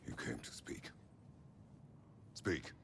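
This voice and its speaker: A man whispering in a put-on character voice, with clear background noise. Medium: video game. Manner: terse, gruff.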